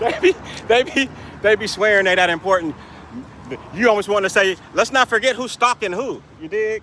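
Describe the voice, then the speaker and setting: A man's raised, projected voice, high-pitched and animated, at a moderate pace with ordinary pitch variation, long, frequent pauses and noticeable background noise. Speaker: vlogger. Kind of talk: casual monologue rant. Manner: stutters at times.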